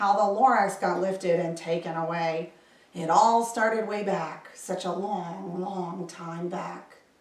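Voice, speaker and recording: In a raspy, put-on character voice, a woman of medium pitch speaks at a fairly slow pace with fairly even intonation and a slight echo. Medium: read story.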